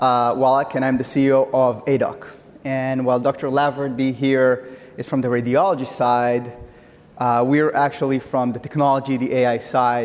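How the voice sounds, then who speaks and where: A man speaks with an Israeli accent at a moderate pace. His medium-pitched voice stays monotone and flat. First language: Hebrew. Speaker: tech company CEO. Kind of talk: conference talk.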